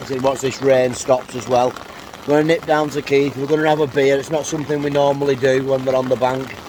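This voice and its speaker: With an English accent, a man speaks at a fairly quick pace, medium pitch, and monotone, flat intonation over noticeable background noise. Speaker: angler vlogger. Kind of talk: casual vlog. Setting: outdoors. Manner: loud; hesitant.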